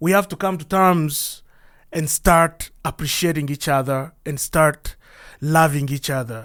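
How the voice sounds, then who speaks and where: A man's fairly slow speech with a Congolese accent and ordinary pitch variation. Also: fairly high pitch for a man, very clean recording, silent background. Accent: Congolese African. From DR Congo. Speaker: podcast host. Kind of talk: monologue podcast address.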